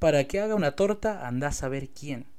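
A man's fairly quick delivery carries lively intonation. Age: 20s. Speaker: rapper and vlogger. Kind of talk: personal vlog monologue.

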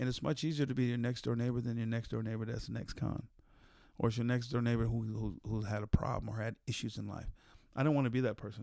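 Speaking very fast, a man has an American accent and a dark, mellow tone. His pitch is medium and his intonation fairly even. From San Jose, California. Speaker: formerly incarcerated reform advocate. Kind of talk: podcast interview.

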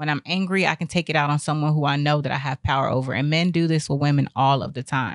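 A woman with an American accent talks at a very fast pace with hardly any pauses, her very deep, low pitch held to fairly even intonation. The sound is dry and close with no echo, and the background is quiet. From Texas. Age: 20s. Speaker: podcast host. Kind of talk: casual monologue commentary.

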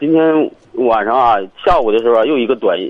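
A man at a fairly quick pace, medium in pitch with ordinary pitch variation, amid noticeable background noise. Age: 40s. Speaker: caller with marriage problem. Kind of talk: phone-in call. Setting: phone call from the street. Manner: halting.

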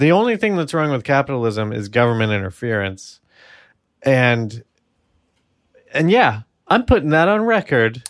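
A man with an American accent talks at a moderate pace and medium pitch, his pitch swinging very widely, with long, frequent pauses. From New York. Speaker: podcast co-host. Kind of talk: casual chat. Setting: home apartment recording.

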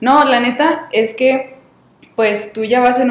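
Through audible room echo and noticeable background noise, a woman speaks at a fairly high pitch. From Mexico, Coahuila. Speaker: podcast host. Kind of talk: casual chat.

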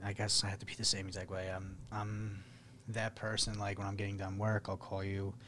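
A man's fairly low voice, somewhat breathy. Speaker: podcast host. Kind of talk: casual podcast chat.

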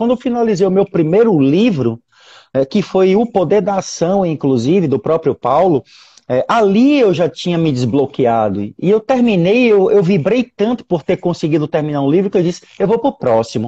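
This man's voice is high-pitched, with very wide pitch swings. His pace is moderate. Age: 40s. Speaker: health professional and life coach. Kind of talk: casual interview on a live stream. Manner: animated.

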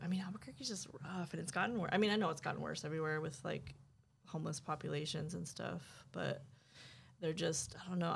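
Speaking at a very fast pace, a woman uses a very deep, low pitch with vocal fry and ordinary pitch variation. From New Mexico (Santa Fe area). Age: 40s. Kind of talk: casual interview chat. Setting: in-person sit-down.

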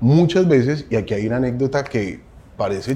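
A man talks at a moderate pace with a medium pitch. His tone is dark and mellow, and somewhat breathy. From Colombia. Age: 40s. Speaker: advertising agency CEO. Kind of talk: interview.

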